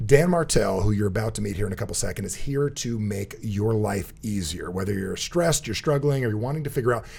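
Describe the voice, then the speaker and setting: A man with an American accent speaks at a fairly quick pace. His voice is somewhat breathy, with lively intonation. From New Jersey. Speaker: podcast host. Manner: fast talker.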